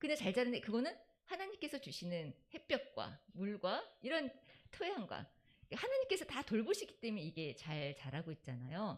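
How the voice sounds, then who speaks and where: Vocal fry runs through this moderately paced voice as the pitch swings very widely. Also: woman, fairly high pitch for a woman. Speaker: church deacon presenting Sabbath school segment. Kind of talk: church talk.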